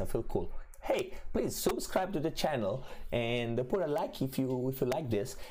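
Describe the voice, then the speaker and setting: Speech comes at a moderate pace with very even loudness. Room echo is audible and background noise is noticeable. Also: man. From Italy. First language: Italian. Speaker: crypto trading streamer. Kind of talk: livestream market commentary. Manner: hesitant, many fillers.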